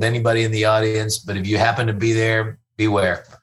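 A man of medium pitch speaks with a Texan accent. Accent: Texan, Southern US. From Fort Worth, Texas. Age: 50s. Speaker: comedian. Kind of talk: casual interview chat. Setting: in-person studio.

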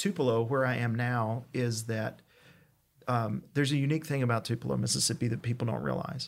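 A man speaks with an East Tennessee accent. His pitch is medium. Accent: Southern US (East Tennessee). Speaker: pastor. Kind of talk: casual interview.

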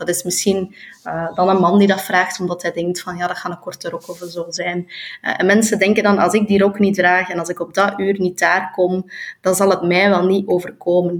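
A woman with a Flemish accent speaks at a moderate pace in a medium pitch, her intonation monotone and flat. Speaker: politician and author. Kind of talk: interview. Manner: halting.

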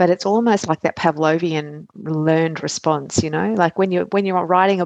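The speech moves at a fairly quick pace with fairly even intonation and a dry, close sound with no echo. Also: woman. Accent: Australian. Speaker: pediatric emergency physician and coach. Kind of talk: interview chat. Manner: fast talker.

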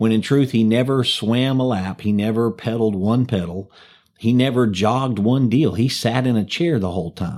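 A man with an unremarkable speaking voice, medium pitch, ordinary pitch variation, very even loudness and a moderate pace, in a very clean recording with a silent background. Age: 50s. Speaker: pastor. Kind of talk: casual chat.

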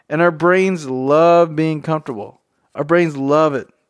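A man with a Southern US accent, a fairly high pitch and ordinary pitch variation, against a quiet background. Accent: Southern US drawl. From Tennessee. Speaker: podcast host. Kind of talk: casual solo podcast monologue. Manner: casual, unscripted and rambling.

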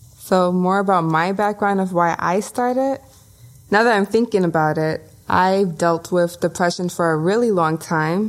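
A woman speaks at medium pitch and a moderate pace. Her pitch varies an ordinary amount. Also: very even loudness. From Brooklyn, New York (Bushwick). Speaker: podcast co-host. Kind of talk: casual chat.

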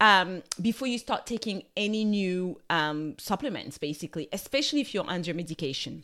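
In a French accent, a woman talks at a moderate pace with a warm tone and lively intonation. The recording is very clean, with a silent background. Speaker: nutritional therapist and wellbeing coach. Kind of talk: solo wellness podcast talk. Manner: warm, casual, conversational.

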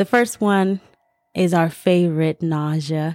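With music in the background, a woman speaks in an American accent at a fairly low pitch with fairly even intonation. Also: dry, close sound with no echo. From Senegalese American background. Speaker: podcast host. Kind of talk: casual solo podcast talk.

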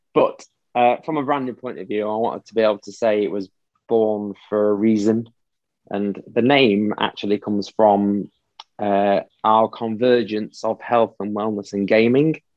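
A fairly low-pitched man with a Yorkshire accent, at a moderate pace and with fairly even intonation. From northern England, Doncaster area. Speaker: military veteran, children's fitness entrepreneur. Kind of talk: casual interview.

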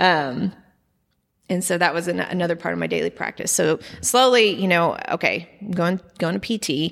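On a very clean recording with a silent background, a woman with an American accent speaks at a moderate pace in a fairly low voice with vocal fry and ordinary pitch variation. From Oklahoma, Edmond. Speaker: artist and cyclist. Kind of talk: casual interview chat.

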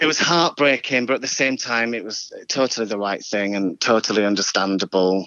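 This man has a plain, everyday voice, pitched fairly low with ordinary pitch variation. He talks at a fairly quick pace. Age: 40s. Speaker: choreographer. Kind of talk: casual interview chat.

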